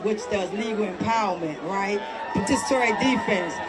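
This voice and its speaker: The speaker has an American accent and talks at a moderate pace with ordinary pitch variation. Crowd noise fills the background, and room echo is audible. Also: woman. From Washington, D.C. (Southeast). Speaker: protest organizer. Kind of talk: protest rally speech. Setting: outdoors. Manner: loud.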